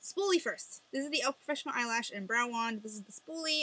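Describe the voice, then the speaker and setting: Her pitch shows ordinary variation. The woman's delivery is very fast. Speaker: beauty vlogger. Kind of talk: casual product review to camera. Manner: chatty, many fillers.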